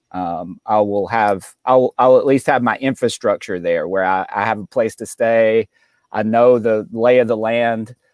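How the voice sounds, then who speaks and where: A man talks in a Southern accent. The sound is dry and close, with no echo. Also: medium pitch for a man, fairly even intonation, fairly slow pace. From Mississippi, US South. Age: 30s. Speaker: stand-up comedian. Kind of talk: casual interview chat.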